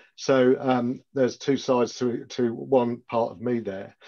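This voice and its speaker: A dark, mellow tone against a quiet background. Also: man. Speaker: police and crime commissioner. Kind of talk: panel talk. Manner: fast.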